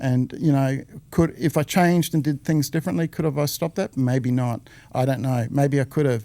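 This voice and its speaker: In a very clean recording with a silent background, a man with an Australian accent talks at a medium pitch with ordinary pitch variation. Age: 60s. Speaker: former business owner, real estate veteran. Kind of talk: casual interview. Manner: halting, with fillers.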